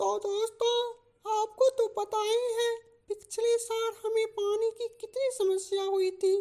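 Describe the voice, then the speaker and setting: Using a cartoonish character voice, a woman speaks fairly slowly at an extremely high pitch in a flat, monotone delivery. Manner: earnest, speechlike.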